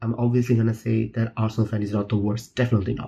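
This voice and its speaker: A man with a Bangladeshi accent speaks at a fairly quick pace and medium pitch, his tone dark and mellow and somewhat breathy, against a quiet background. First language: Bengali. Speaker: football fan vlogger. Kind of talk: casual monologue. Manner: stuttering; animated. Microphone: poor audio quality.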